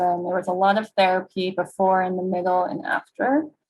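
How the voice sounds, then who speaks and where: A woman's plain, everyday voice with an American accent, medium pitch, fairly even intonation, and a fairly quick pace. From US Northeast, New York City. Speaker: clinical psychologist and researcher. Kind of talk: webinar presentation.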